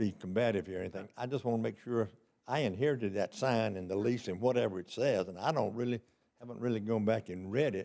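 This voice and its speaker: A man with an American accent talks at a very fast pace. His medium-pitched voice has a dark, mellow tone and ordinary pitch variation. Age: 80s+. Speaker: property developer. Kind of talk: public meeting discussion. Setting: city planning commission meeting. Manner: halting.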